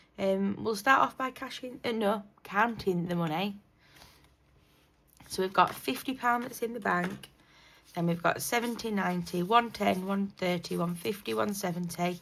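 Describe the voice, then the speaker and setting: Here a woman speaks with a British accent at medium pitch. Her pace is moderate and her pitch varies in an ordinary way. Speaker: budgeting YouTuber. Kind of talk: casual vlog talk. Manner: hesitant, many fillers.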